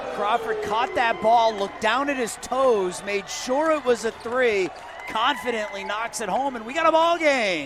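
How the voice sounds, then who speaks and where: A man speaks at an extremely high pitch with lively intonation and a moderate pace. Noticeable background noise sits behind him. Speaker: color commentator. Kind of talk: live game analysis between plays.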